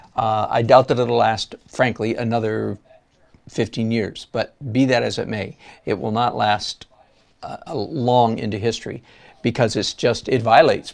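A man with an American accent speaks at a fairly slow pace and medium pitch. His intonation is fairly even, with vocal fry. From Michigan. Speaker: watercolor artist and art teacher; art teacher. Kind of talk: live-stream tutorial with chat. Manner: rambling, chatty. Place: studio.

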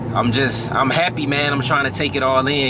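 Against loud background noise, a man talks at a very fast pace, the sound dry with no echo. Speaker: car vlogger driving. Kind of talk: casual vlog chat. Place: car. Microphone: phone near.

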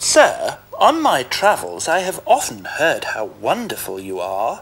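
A man in a put-on character voice at a fairly slow pace. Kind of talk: polite, ingratiating. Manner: flattering, sweet.

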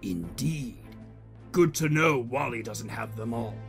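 Fairly slow speech from a man, clear music behind it. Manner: scolding, imperious.

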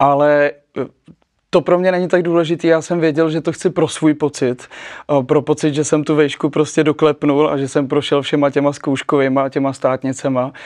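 A man talks in a flat monotone against a quiet background. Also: moderate pace. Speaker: talk show guest. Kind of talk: interview answer. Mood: cheerful, laughing. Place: studio.

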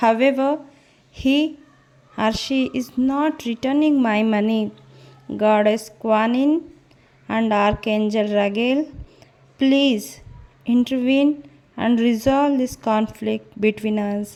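A woman speaks in a plain, everyday voice, fairly high in pitch, with ordinary pitch variation. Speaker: tarot reader and spiritual guide on a video channel. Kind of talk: fervent prayer, led aloud line by line for listeners to repeat. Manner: soothing, guiding, calm breathing-paced cues.

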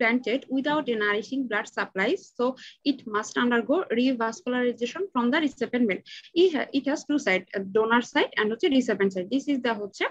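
A woman speaks at a fairly quick pace with a high voice and ordinary pitch variation. The background is quiet. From Bangladesh. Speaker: dental student; presenter. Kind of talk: student paper presentation. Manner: halting. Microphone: webcam.

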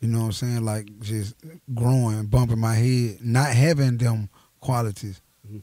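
A man with a Memphis accent speaks at a moderate pace in a dark, mellow tone, his intonation fairly even. The sound is dry with no echo, over a quiet background. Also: medium pitch for a man. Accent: Southern US, Memphis. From Tennessee. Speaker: rapper; interview guest. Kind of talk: interview. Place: studio. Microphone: studio mic.

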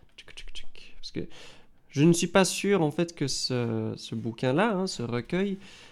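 Here a man speaks very slowly with a slight Belgian accent. The recording is very clean, with a silent background. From Belgium. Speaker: guitar teacher. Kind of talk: live stream tutorial. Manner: hesitant, many fillers.

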